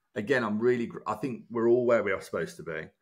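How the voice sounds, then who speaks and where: This man has a Birmingham accent and a medium pitch, with vocal fry. He talks at a very fast pace. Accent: Brummie. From Birmingham, England. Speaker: broadcaster and former reality TV contestant. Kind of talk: casual interview chat.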